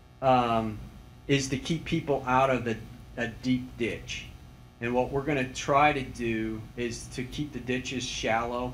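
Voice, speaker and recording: Audible room echo surrounds a man who speaks at a fairly slow pace in a monotone, flat intonation. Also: medium pitch for a man. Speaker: highway project engineer. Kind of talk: public meeting answer. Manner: loud; halting.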